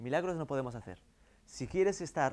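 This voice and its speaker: A man with a Galician accent speaks at a fairly quick pace in a fairly high pitch. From Galicia, Vigo area. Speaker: marketing consultant; guest lecturer. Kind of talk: lecture. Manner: halting. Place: classroom.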